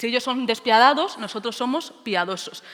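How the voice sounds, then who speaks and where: A woman speaks at a moderate pace with a high pitch. Her tone is bright and sharp, and her pitch varies in an ordinary way. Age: 20s. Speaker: teacher. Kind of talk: conference talk.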